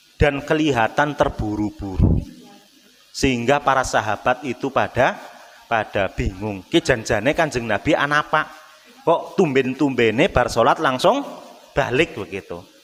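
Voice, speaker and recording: With lively intonation, a man speaks at a moderate pace over noticeable background noise. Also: medium pitch for a man. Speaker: Islamic preacher. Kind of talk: sermon. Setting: mosque. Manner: casual, mixing in Javanese.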